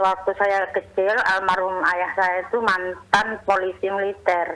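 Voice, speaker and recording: A woman speaks in a monotone, flat intonation. Her loudness stays very even. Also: medium pitch for a woman, fairly slow pace. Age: 60s. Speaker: caller, housewife. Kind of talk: phone-in question.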